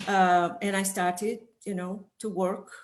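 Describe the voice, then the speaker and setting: A woman's medium-pitched voice with an Italian accent, at a fairly slow pace. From northern Italy. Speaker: sensory expert. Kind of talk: interview. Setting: video call.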